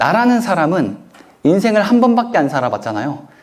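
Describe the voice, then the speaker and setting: Recorded with audible room echo, a man speaks fairly quickly with very wide pitch swings. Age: 30s. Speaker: author and self-help lecturer. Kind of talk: lecture Q&A answer.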